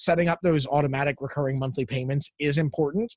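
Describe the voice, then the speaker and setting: A man's somewhat breathy voice, fairly high in pitch. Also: dry, close sound with no echo. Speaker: lifestyle coach and small business owner. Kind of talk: casual podcast interview. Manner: relaxed.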